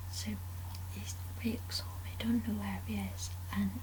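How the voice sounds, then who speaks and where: Soft-spoken and at a fairly slow pace, the voice comes through noticeable background noise. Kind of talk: casual film review to camera.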